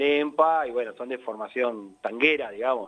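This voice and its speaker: A plain, everyday voice from a man, fairly slow in pace and medium in pitch. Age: 40s. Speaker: tango musician. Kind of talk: interview.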